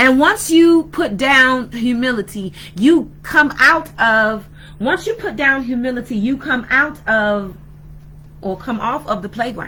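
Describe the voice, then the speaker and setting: A woman's high, bright, sharp voice with lively intonation, a fairly slow pace and audible room echo. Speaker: spiritual teacher, video blogger. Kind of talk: sermon-style talk. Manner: halting.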